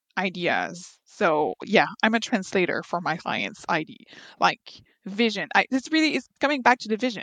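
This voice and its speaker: A woman's fairly high voice in a Quebec accent, with vocal fry, very wide pitch swings and a dry, close sound free of echo. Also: quiet background. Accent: Québécois French. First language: French. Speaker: veterinary architect. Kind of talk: interview.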